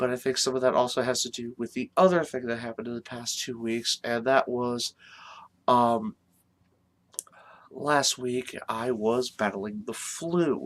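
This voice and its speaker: Soft-spoken and at a medium pitch, a man talks at a fairly slow pace with ordinary pitch variation in a dry, close sound with no echo. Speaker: wrestling commentary vlogger. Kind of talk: casual vlog talk. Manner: hesitant, many fillers.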